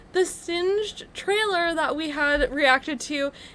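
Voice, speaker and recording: A woman with an American accent at a fairly slow pace. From United States. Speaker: YouTube reaction channel co-host. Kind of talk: casual chat.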